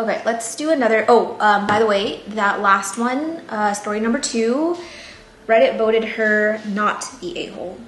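Against noticeable background noise and audible room echo, a woman with a fairly high pitch speaks at a moderate pace with ordinary pitch variation. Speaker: plant YouTuber. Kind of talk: casual vlog chat and reading stories aloud. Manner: soft-spoken, jaw not fully opening.

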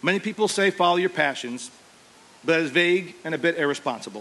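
At a very fast pace, a man talks with a high pitch and lively intonation. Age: 40s. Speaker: teacher and football coach. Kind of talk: commencement speech. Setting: outdoor graduation ceremony with audience. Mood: humorous, self-deprecating. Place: stage. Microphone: podium.

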